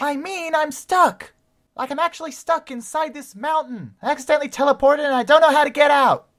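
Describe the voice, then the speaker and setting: A female-sounding put-on character voice speaks at a fairly quick pace, whiny in tone and high in pitch. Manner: whiny, panicky.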